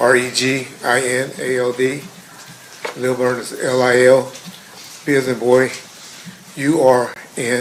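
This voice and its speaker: With an American accent, a man speaks in a monotone, flat intonation, leaving long, frequent pauses. Audible room echo and noticeable background noise fill the recording. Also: medium pitch for a man. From Compton, California. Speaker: trial witness, retired police officer. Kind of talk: court testimony. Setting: courtroom.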